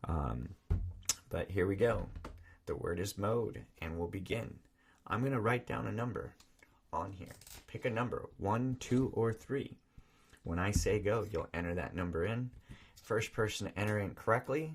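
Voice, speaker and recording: Fairly low-pitched male voice with vocal fry, a fairly slow pace and long, frequent pauses. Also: ordinary pitch variation. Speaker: live-stream game show host. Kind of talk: live stream chat. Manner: animated.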